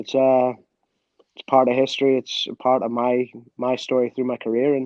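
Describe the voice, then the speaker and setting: In a dry, close recording with no echo, a man speaks in a monotone, flat intonation. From Canada, Scottish family. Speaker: former professional footballer. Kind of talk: interview.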